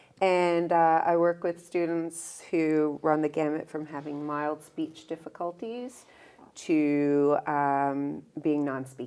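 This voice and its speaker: In a very clean recording with a silent background, a woman with a Newfoundland accent speaks at a very slow pace. Her very deep, low pitch has a dark, mellow tone and fairly even intonation. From Newfoundland, St. John's. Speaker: speech language pathologist. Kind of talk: interview conversation.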